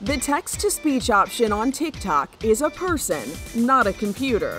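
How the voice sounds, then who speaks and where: A woman speaks in a high pitch at a fairly slow pace. Her pitch swings very widely, with music in the background. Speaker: news reporter. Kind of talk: news feature narration.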